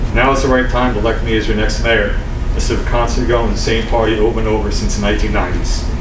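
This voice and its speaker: A man with an American accent talking at a very fast clip over noticeable background noise. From New Jersey. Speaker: town councilman running for mayor. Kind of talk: campaign speech. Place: hall. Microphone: podium.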